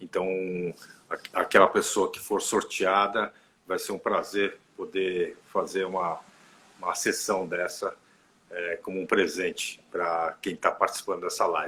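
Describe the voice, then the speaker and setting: A fairly slow-paced man, his speech broken by long, frequent pauses. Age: 60s. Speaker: therapist. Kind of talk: casual live stream chat. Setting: online live stream. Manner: halting.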